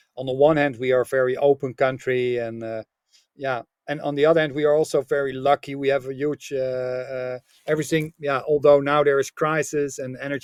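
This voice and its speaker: A man speaks at a medium pitch with a Dutch accent and a flat, monotone delivery. His moderate pace comes through in a dry, close recording with no echo. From Netherlands. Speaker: business author and coach. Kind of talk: podcast interview. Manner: halting, many fillers.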